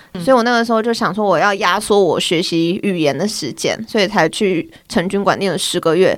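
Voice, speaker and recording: Her medium-pitched voice is an ordinary speaking voice, moving at a fairly quick pace with lively intonation on a very clean recording with a silent background. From Taiwan. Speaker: office worker and amateur badminton player. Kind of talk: casual chat.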